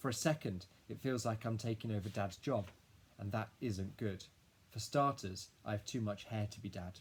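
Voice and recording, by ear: Someone reading aloud in a natural voice, pitch rising and falling in an ordinary way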